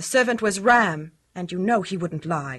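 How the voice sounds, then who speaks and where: A woman puts on a growling character voice at a medium pitch, with lively intonation, a moderate pace and big swings in loudness. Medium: old radio play. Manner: firm, insistent.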